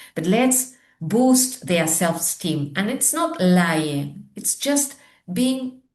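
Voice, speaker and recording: A woman's voice, somewhat breathy, moves through very wide pitch swings. The background is quiet. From Argentina. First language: Spanish. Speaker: teacher trainer and education consultant. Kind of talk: interview conversation.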